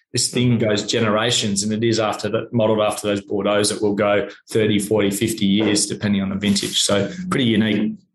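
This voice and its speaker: The speech runs at a fairly quick pace with hardly any pauses, very even loudness and monotone, flat intonation. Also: man, fairly low pitch for a man. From Australia, Sydney. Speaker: wine company general manager. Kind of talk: interview.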